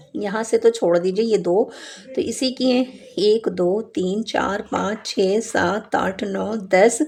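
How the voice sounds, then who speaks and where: Noticeable background noise sits behind a woman's voice. She talks in a fairly high pitch with ordinary pitch variation. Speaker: knitting instructor. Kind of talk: tutorial.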